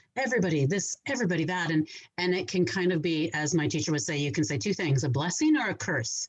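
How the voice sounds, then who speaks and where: Loud and very fast, a woman with a fairly low pitch speaks in very wide pitch swings. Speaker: qigong teacher and energy healer. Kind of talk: casual chat.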